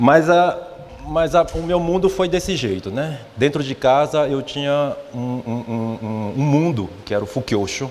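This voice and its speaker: In a northeastern Brazilian accent, a man speaks at a fairly slow pace with audible room echo and noticeable background noise. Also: fairly high pitch for a man, lively intonation. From Brazilian Northeast, Olinda, Pernambuco. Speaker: religious speaker, church leader. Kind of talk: morning talk to congregation. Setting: mission headquarters hall with audience. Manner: hesitant, many repeated fillers.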